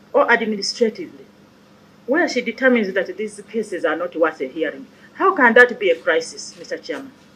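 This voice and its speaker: Over noticeable background noise, a woman with a fairly high voice speaks at a fairly quick pace, her pitch swinging very widely between long, frequent pauses. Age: 60s. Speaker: human rights commission chairperson. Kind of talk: testimony before parliamentary committee. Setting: parliamentary committee hearing. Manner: formal.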